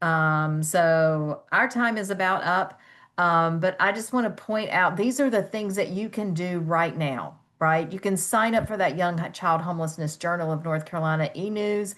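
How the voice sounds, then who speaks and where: A woman at a fairly low pitch and moderate pace, with ordinary pitch variation, a plain, everyday voice and a quiet background. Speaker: webinar moderator. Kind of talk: webinar wrap-up.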